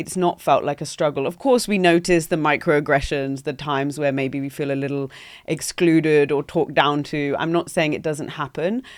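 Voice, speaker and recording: Spoken with a London accent, this is a very clean recording with a silent background. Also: woman, very deep, low pitch for a woman, fairly even intonation, moderate pace. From London, England. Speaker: entrepreneur. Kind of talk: podcast interview. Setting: podcast studio.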